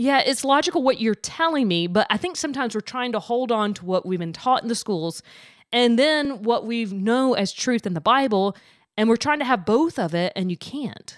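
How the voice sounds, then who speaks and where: A woman uses an ordinary speaking voice at a fairly high pitch, with lively intonation and a moderate pace. The recording is very clean, with a silent background. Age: 40s. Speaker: podcast host. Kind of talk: interview. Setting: studio.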